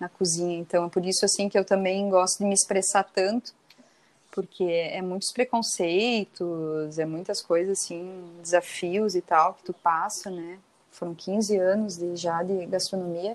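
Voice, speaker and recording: A woman talks in a normal speaking voice at medium pitch. Her pace is fairly slow and her intonation fairly even. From southern Brazil (Santa Catarina, Rio Grande do Sul). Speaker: chef. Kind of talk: interview.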